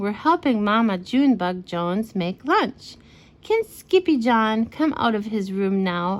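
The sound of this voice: Lively intonation in an unforced reading voice.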